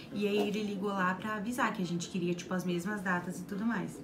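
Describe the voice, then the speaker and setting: Amid noticeable background noise and audible room echo, a woman speaks at a medium pitch and moderate pace with fairly even intonation. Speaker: travel vlogger. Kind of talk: video tour of hotel room; casual chat. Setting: hotel room. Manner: soft-spoken.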